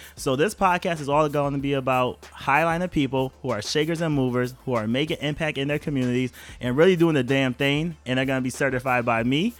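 At a very fast pace, a man speaks in an animated tone with a fairly high pitch and ordinary pitch variation. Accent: New York. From New York, Rochester. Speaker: podcast host. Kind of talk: casual chat. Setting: home.

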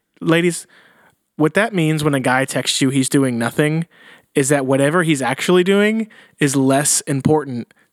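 A man speaks at a moderate pace with a plain, everyday voice and ordinary pitch variation. The recording is very clean, with a silent background and a dry, close sound with no echo. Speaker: podcast host. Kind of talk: casual banter. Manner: casual, joking.

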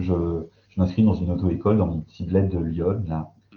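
A somewhat breathy voice at a moderate pace. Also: man. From eastern France, Belfort. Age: 30s. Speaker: sociologist. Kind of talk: casual interview. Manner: hesitant.

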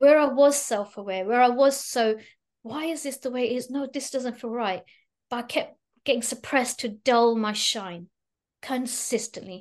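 A woman talks at a high pitch and moderate pace. Her pitch varies in an ordinary way over a quiet background. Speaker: plane crash survivor and spiritual coach. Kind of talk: interview. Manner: animated.

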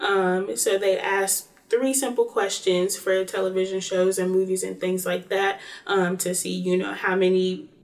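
Speaking at a moderate pace, a woman has an unremarkable speaking voice at a medium pitch. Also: ordinary pitch variation. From North Carolina, Greensboro. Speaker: college student. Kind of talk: interview.

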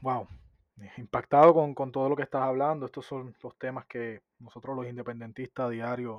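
This man speaks at a moderate pace with a medium pitch. His intonation is monotone and flat. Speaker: podcast co-host. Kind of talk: interview.

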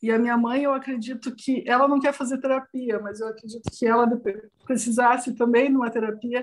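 With flat, monotone intonation, a woman talks at a fairly high pitch. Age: 40s. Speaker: interview guest. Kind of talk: interview testimony.

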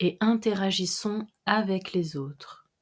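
Very slowly, a woman speaks in a gentle, calm tone at a medium pitch. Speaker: meditation guide. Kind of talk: guided meditation. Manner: slow, calm, soothing; gentle, measured, with long pauses.

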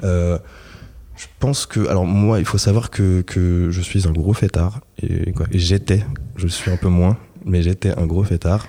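This man has a very deep, low voice and speaks at a very slow pace. He leaves long, frequent pauses, with ordinary pitch variation. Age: 30s. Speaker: podcast guest sharing breakup story. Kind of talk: casual interview conversation.

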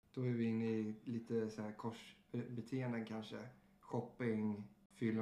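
A dark, mellow tone delivers the words at a fairly slow pace with monotone, flat intonation and audible room echo. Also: man. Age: 30s. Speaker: podcast host, recovering alcoholic. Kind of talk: casual chat.

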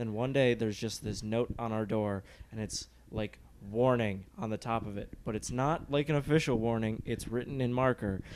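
An ordinary speaking voice comes with an American accent. It moves at a moderate pace with fairly even intonation. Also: man, medium pitch for a man. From Michigan (Rochester). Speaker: comedian. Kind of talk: casual chat.

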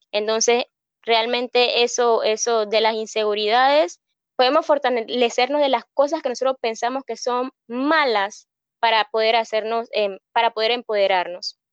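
Heard against a quiet background with a dry, close sound and no echo, a woman of fairly high pitch speaks at a fairly slow pace with ordinary pitch variation in a plain, everyday voice. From Panama, Colón province. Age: 20s. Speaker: hairstylist and beauty pageant contestant. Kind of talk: interview.

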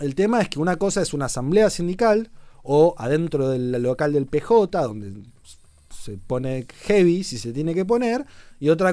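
A man speaks at a fairly slow pace with a dark, mellow tone. His pitch is fairly high and his intonation lively. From Argentina, Chubut (Puerto Madryn). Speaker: political commentator and show host. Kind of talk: casual political commentary on a livestream.

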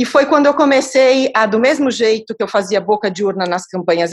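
A woman speaks in a plain, everyday voice at a moderate pace. Her pitch is fairly high, and her intonation is lively. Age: 50s. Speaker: philanthropist and social entrepreneur. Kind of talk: interview conversation.

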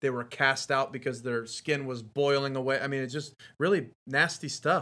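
Here a man talks at a moderate pace in a bright, sharp tone. His pitch is medium and his intonation fairly even.

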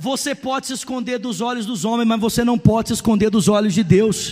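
An animated man's voice, pitched extremely high, moves at a moderate pace. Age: 30s. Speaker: pastor. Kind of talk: sermon.

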